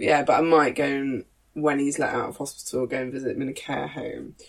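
A woman speaks with a British accent. She keeps a moderate pace. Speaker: podcast host. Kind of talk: casual chat.

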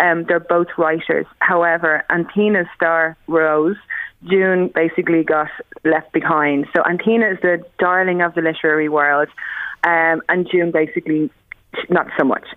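A woman with an Irish accent and a fairly low pitch speaks at a moderate pace in monotone, flat intonation, her loudness very even. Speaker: bookseller. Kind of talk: book recommendations on radio.

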